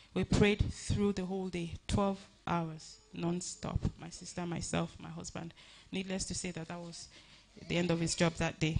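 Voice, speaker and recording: A woman speaks with faint music in the background. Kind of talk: eulogy tribute speech. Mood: emotional, earnest, grateful. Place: hall. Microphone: handheld.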